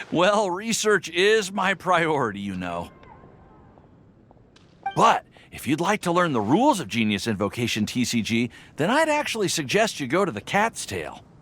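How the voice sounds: Using a put-on character voice, a man talks at a fairly slow pace with a fairly bright tone and very wide pitch swings. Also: fairly high pitch for a man.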